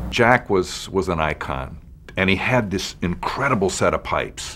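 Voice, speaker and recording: A man talks at a moderate pace with a very deep, low pitch and vocal fry. His tone is bright and sharp, and his intonation is lively. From Los Angeles, US West Coast. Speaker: TV writer and producer. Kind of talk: interview testimony. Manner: halting, repeats words.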